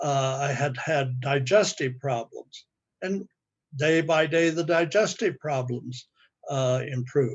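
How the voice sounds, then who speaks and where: A man speaks at a very slow pace with a fairly high pitch. His voice is somewhat breathy, with ordinary pitch variation. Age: 80s+. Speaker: customer giving testimonial. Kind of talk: testimony. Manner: halting.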